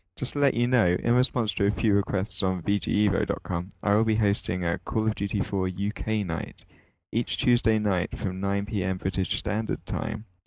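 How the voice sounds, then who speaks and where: In a plain, everyday voice, a man with a fairly low pitch speaks at a moderate pace and fairly even intonation against a quiet background. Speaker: guest, gaming site writer. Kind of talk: casual chat.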